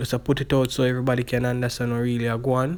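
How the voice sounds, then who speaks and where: A man is speaking. He has a Jamaican accent. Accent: Jamaican English with patois features. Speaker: YouTube vlogger. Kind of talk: casual vlog commentary. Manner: halting.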